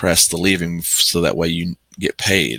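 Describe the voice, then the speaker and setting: The man's pitch is very deep and low, with vocal fry and a bright, sharp tone. The sound is dry and close with no echo. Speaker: delivery driver. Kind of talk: casual talk to camera. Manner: hesitant, many fillers.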